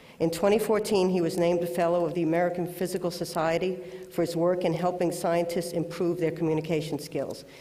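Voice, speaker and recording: Someone with a Bronx accent talks very fast over noticeable background noise. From New York City, the Bronx. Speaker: award presenter. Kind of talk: award introduction speech. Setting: auditorium with audience, webcast.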